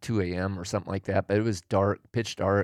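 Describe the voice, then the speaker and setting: A man with an American accent has a normal speaking voice, a fairly low pitch and ordinary pitch variation. The recording is very clean, dry and close, with no echo and a silent background. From Oregon, US Pacific Northwest. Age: 60s. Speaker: hunter and backpacker, host's father. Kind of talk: casual chat.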